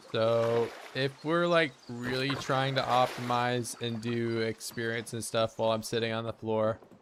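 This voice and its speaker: With hardly any pauses, a man speaks at a fairly slow pace and medium pitch, fairly even in intonation, over noticeable background noise. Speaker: gaming streamer. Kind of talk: casual chat. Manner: monotone.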